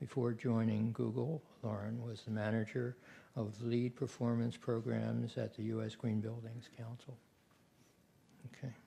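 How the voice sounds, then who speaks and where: Speaking at a medium pitch and a fairly slow pace, a man sounds somewhat breathy, with a dark, mellow tone and monotone, flat intonation. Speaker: session moderator. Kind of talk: speaker introductions at a conference.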